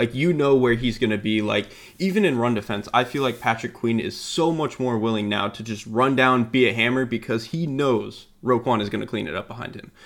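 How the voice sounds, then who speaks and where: This man has an unremarkable speaking voice at medium pitch, with an American accent. He moves at a fairly quick pace with hardly any pauses and ordinary pitch variation. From Florida. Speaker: football analyst. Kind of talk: casual football analysis chat.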